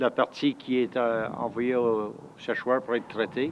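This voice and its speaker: A man speaks at a fairly slow pace, medium in pitch. It is an ordinary speaking voice. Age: 60s. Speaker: miner. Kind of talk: guided tour.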